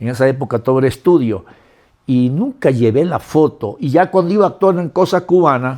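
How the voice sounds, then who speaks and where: This man talks at a fairly quick pace with a fairly high pitch. He has an ordinary speaking voice. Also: lively intonation. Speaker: actor and filmmaker. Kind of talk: interview.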